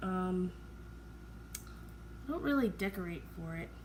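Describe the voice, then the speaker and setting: A woman speaks quietly at a moderate pace. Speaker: acrylic pour artist YouTuber. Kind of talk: casual tutorial commentary.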